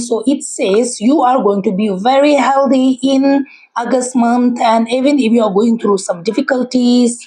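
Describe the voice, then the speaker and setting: With noticeable background noise behind her, a woman talks at a fairly slow pace, her pitch high and her intonation fairly even. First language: Tibetan. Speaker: tarot reader. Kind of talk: tarot reading. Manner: halting.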